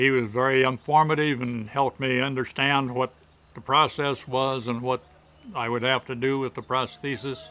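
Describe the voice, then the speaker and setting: Bright and sharp in tone, a man with a Midwestern US accent talks at a moderate pace and medium pitch with flat, monotone intonation. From Michigan. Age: 70s. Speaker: amputee patient. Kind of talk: testimony.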